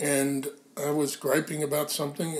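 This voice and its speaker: Here a man talks at a moderate pace in a fairly high pitch. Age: 60s. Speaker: founding editor of a mindfulness magazine. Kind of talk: casual conversation interview. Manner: halting, many fillers.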